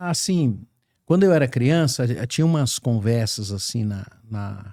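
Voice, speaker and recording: A man speaks very slowly at a medium pitch, his dark, mellow tone moving through very wide pitch swings. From Brazil, small coastal town. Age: 70s. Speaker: podcast host. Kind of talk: podcast conversation. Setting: studio. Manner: halting, many fillers.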